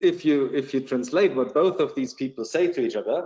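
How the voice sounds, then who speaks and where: In a German accent, a man talks at a moderate pace. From Germany, Bavaria. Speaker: security company executive. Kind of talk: podcast interview. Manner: halting, many repetitions.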